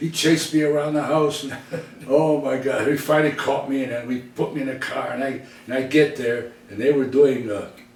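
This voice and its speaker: A man with an American accent speaks at a moderate pace and a fairly high pitch with ordinary pitch variation, amid noticeable background noise and audible room echo. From US Midwest, Detroit. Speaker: entertainer. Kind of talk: casual reminiscing interview.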